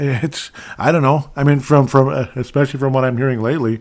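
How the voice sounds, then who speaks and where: A man speaks with an Upper Midwest accent. His pace is fairly quick. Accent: Upper Midwest American. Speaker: podcast host. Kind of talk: political commentary monologue. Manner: casual, filler-heavy.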